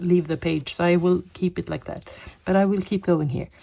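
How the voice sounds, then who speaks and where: In a Swedish accent, a woman talks with a fairly low pitch, a dark, mellow tone and fairly even intonation. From Sweden. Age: 50s. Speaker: coloring hobby vlogger. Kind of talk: casual chat. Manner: hesitant, with fillers.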